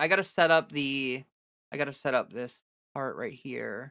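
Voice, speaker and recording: Recorded very cleanly against a silent background, a woman with an American accent talks at a moderate pace, her very deep, low voice bright and sharp in tone with vocal fry. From Ohio, US Midwest. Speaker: livestreamer, political commentator. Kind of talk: casual livestream commentary. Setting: livestream. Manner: halting, many fillers and restarts.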